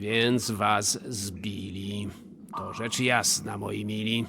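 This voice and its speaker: In a put-on character voice, a man speaks very slowly with a raspy, fairly low pitch and a flat monotone over clear background noise. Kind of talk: verse comedy stage acting. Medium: audio drama. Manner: hesitant, short replies.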